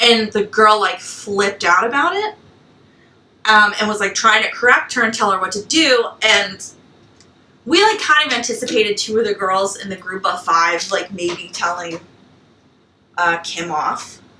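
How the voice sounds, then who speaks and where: Speaking at a moderate pace in an animated tone, a woman with a fairly high voice and ordinary pitch variation leaves long, frequent pauses. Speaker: podcast co-host. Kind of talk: casual chat. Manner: loud.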